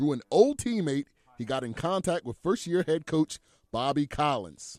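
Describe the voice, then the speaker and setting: Lively intonation from a man at a moderate pace, with music in the background and a dry, close sound with no echo. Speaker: sports anchor and reporter. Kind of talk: TV sports feature package narration. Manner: smooth, polished delivery.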